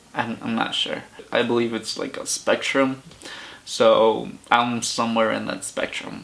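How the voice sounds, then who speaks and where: The pace is very slow as a man speaks. Noticeable background noise can be heard. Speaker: vlogger. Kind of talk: personal vlog.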